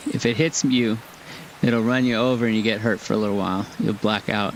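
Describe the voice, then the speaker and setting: Noticeable background noise runs under a voice with an American accent and fairly even intonation. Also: man, very even loudness. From California, LA County. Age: 60s. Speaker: gaming streamer. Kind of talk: casual live-stream commentary while gaming. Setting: home live stream. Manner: conversational, rambling.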